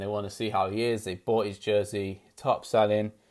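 A man's fairly low voice with a British accent and monotone, flat intonation. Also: very clean recording, silent background. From UK. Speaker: sports podcaster. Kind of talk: solo podcast monologue. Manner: casual, chatty, hesitant with fillers.

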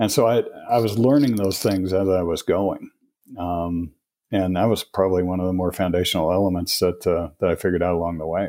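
A man's very deep, dark, mellow voice with an American accent, fairly quick and fairly even, on a very clean recording with a silent background. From Colorado. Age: 50s. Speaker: author and men's mentor. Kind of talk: interview. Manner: halting.

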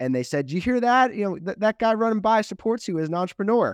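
Here a man speaks with an American accent. The sound is dry and close with no echo, over a quiet background. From US Mid-Atlantic, Washington DC suburbs. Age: 20s. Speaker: tech startup founder and CEO. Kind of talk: interview.

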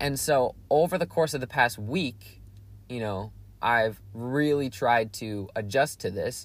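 The voice is somewhat breathy. This man's pitch moves in an ordinary way. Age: young. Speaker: solo podcast host, college student. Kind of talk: casual solo monologue. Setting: in a parked car. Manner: relaxed, hesitant with many fillers.

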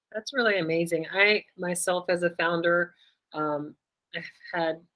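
A plain, everyday voice with an American accent, speaking at a moderate pace with fairly even intonation. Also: woman. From US. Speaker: podcast host. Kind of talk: casual interview.

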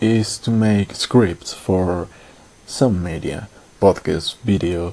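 Someone with a non-native accent speaks at a very slow pace with ordinary pitch variation. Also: man. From Latin America. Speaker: podcaster and scriptwriter. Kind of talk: personal monologue. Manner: halting.

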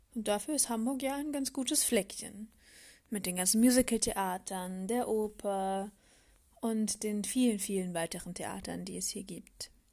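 On a very clean recording with a silent background, a woman speaks fairly slowly in a somewhat breathy, dark, mellow voice at a fairly high pitch. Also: ordinary pitch variation. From Palatinate, Germany. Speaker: podcast host. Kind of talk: solo podcast monologue.

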